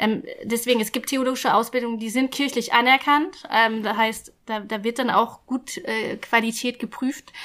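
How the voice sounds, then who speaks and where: A woman speaks in a fairly high pitch with a bright, sharp tone and fairly even intonation. Her pace is moderate, with hardly any pauses. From rural Germany. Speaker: guest telling her life story. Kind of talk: casual interview. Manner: halting, with many fillers.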